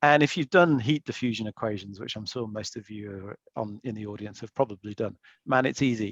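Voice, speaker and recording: Speaking in an English accent at a fairly quick pace, the voice shows ordinary pitch variation and big swings in loudness, in a dry, close sound with no echo over a quiet background. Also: man, fairly low pitch for a man. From England. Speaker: investment banker, panelist. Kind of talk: webinar panel talk. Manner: halting, many fillers.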